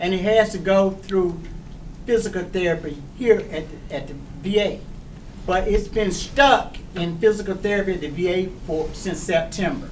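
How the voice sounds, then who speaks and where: A man with a high pitch speaks with long, frequent pauses amid noticeable background noise and audible room echo. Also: ordinary pitch variation, moderate pace. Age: 70s. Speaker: veteran asking a question at a town hall. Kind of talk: town hall question from the audience. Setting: town hall meeting with a live audience. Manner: halting, many restarts.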